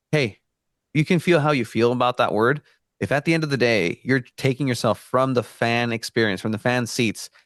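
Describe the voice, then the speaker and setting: With a Spanish accent, a man talks at medium pitch and a moderate pace, with ordinary pitch variation. The sound is dry and close with no echo, over a quiet background. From Mexico (Tijuana). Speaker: soccer journalist. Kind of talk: casual podcast interview.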